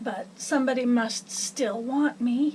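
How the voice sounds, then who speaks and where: A raspy, put-on character voice at a fairly slow pace amid clear background noise. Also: woman. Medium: read story. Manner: plaintive, hopeful.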